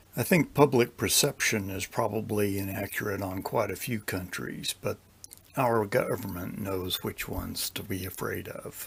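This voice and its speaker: With a Texas accent, a man speaks at a moderate pace in a fairly low, somewhat breathy voice with ordinary pitch variation. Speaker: retired intelligence officer. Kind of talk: Q&A interview. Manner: terse, matter-of-fact.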